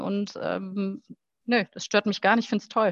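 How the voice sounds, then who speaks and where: Against a quiet background, a woman speaks in a plain, everyday voice at medium pitch with fairly even intonation. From Rhineland, Germany (Heinsberg). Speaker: football club marketing manager. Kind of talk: interview, casual chat.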